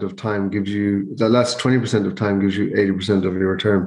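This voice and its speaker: In a western Irish accent, a man speaks with a fairly low pitch and monotone, flat intonation. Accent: Irish (west of Ireland). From Ireland, County Mayo. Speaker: investment educator, former salmon farming director. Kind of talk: interview conversation.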